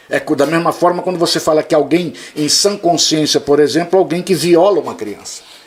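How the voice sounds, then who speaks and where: A man speaks with a high pitch at a moderate pace. Noticeable background noise can be heard. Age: 60s. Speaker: history teacher. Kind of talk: casual debate. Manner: animated.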